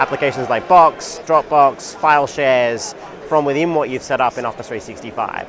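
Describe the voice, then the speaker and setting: A man with an Australian accent at a fairly quick pace, over noticeable background noise. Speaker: tech company executive. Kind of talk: interview. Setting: conference booth.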